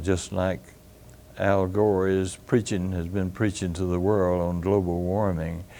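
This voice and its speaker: A dark, mellow tone in a Tennessee accent. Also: man. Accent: Southern US (Tennessee). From Carthage, Tennessee (US South). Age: 90s (80s+). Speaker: retired physician. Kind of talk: oral history interview. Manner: halting, many fillers.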